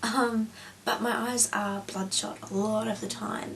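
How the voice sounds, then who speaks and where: A woman speaks with an Australian accent. There is noticeable background noise. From Australia (New South Wales). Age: 20s. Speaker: beauty and lifestyle vlogger. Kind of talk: casual chat. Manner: hesitant, many fillers.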